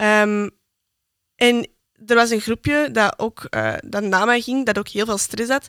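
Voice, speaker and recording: Very slowly and with long, frequent pauses, a woman with a Flemish accent speaks at a fairly high pitch with ordinary pitch variation, in a dry, close sound with no echo. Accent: Flemish Dutch. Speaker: podcast co-host, student. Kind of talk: casual chat.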